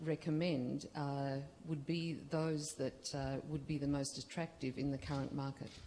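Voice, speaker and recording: A woman with an Australian accent, very deep and low in pitch, fairly even in intonation, at a fairly slow pace. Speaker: audience member, entrepreneur. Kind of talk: audience question. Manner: hesitant, many fillers.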